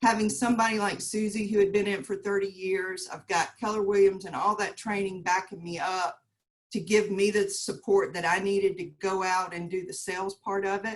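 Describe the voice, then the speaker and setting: In a Southern US accent, a woman talks at a fairly quick pace with a monotone, flat intonation. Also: medium pitch for a woman. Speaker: realtor. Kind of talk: panel discussion. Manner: halting.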